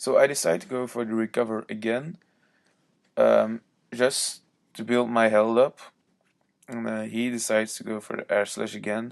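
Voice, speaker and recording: Speaking with a Belgian accent, a man at medium pitch keeps his intonation fairly even and his pace moderate, with big swings in loudness and long, frequent pauses. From Belgium. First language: not English. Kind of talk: video game commentary. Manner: casual, hesitant.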